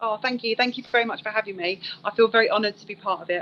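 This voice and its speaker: Very fast speech comes from a woman in a South East London accent. Noticeable background noise runs underneath. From South East London, England. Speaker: secondary school English teacher. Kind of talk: interview conversation.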